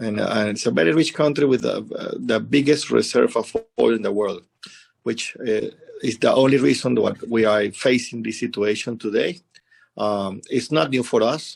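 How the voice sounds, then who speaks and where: With a Spanish accent, a man speaks at a moderate pace. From Venezuela. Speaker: embassy representative. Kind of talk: interview. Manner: halting, many fillers.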